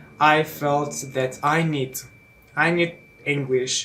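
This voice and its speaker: Very slow in pace, a man speaks with a fairly high pitch and fairly even intonation. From eastern Iran. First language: Persian. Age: 20s. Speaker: English teacher and student. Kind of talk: casual self-introduction vlog. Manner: halting, many fillers.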